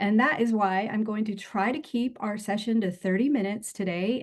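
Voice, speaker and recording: A woman talks at a moderate pace in an unremarkable speaking voice of medium pitch. Her intonation is fairly even, and the background is quiet. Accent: American. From United States. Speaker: career coach. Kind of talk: webinar presentation.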